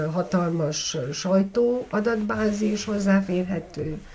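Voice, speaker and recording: A woman's speech unfolds very slowly. Her pitch rises and falls in an ordinary way. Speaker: journalist and documentary maker. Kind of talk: interview. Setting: at her home.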